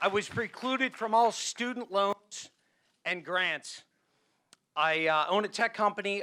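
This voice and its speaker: A man with a high pitch projects a raised voice with a bright, sharp tone at a fairly slow pace. His pitch varies in an ordinary way, and the recording is very clean with a silent background. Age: 40s. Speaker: audience member asking a question. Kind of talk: public question at a conference.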